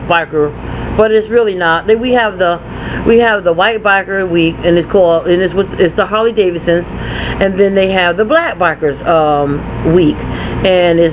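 Noticeable background noise sits behind a woman who speaks at a moderate pace with ordinary pitch variation and very even loudness. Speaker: haul vlogger. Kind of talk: casual vlog chat. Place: home room. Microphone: webcam.

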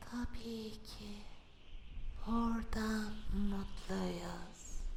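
A man uses a put-on character voice at a very slow pace over clear background noise. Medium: dub.

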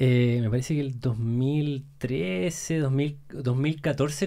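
Against a quiet background, a man speaks in a fairly high pitch with a dark, mellow tone. His pitch variation is ordinary. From Chile, Santiago; Chile. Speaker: entrepreneur; podcast guest. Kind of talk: casual chat. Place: studio. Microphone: studio mic.

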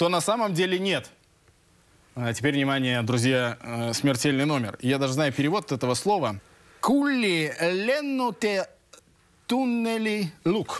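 At a fairly slow pace with long, frequent pauses, the voice makes very wide pitch swings while its loudness stays very even, in a dry sound with no echo. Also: man, high pitch for a man. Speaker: TV show host. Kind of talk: TV talk show hosting. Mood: playful, joking. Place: studio. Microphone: lapel.

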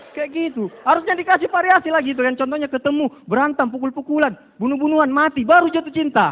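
Shouting loudly in a North Sumatran accent, a man with a gruff, extremely high-pitched voice speaks very fast in an animated tone with ordinary pitch variation. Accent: Batak-accented Indonesian. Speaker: stand-up comedian. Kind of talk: stand-up comedy set with a live audience, punchline-driven jokes and mimicked dialogue. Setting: stage with audience, TV comedy competition with judges. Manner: loud, brash and animated, shouting punchlines with a gruff, aggressive delivery. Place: stage. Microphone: handheld.

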